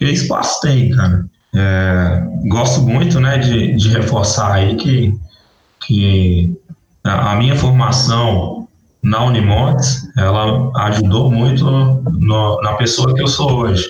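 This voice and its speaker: A man's medium-pitched voice at a very slow pace, with very even loudness. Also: ordinary pitch variation. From northern Minas Gerais, Brazil. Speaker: agronomist in irrigation. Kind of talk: interview.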